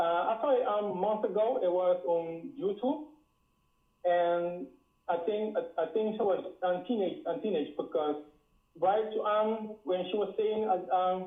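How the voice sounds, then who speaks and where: A man speaks at a fairly slow pace in a high pitch, with very even loudness and ordinary pitch variation. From Dutch Caribbean island. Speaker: caller. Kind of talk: call-in talk. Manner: halting.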